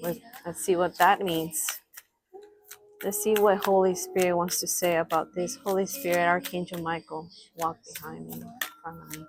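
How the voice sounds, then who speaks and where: With a non-native accent, a woman of fairly low pitch speaks at a moderate pace with fairly even intonation, long, frequent pauses and big swings in loudness. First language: not English. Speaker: spiritual reader, channel owner. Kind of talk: spiritual reading / vlog address. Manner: halting, self-correcting; assertive.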